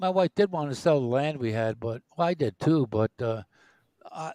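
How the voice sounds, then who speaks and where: A man with a fairly high pitch talks at a moderate pace, swinging his pitch very widely. The sound is dry and close, with no echo. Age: 60s. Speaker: retiree co-host of a live stream. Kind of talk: casual chat. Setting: live stream.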